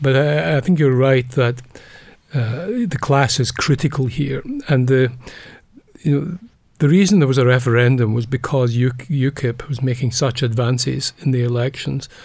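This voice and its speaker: A man talks at a moderate pace in a medium-pitched, somewhat breathy voice with ordinary pitch variation. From Scotland. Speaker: psychology professor emeritus. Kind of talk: interview. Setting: studio.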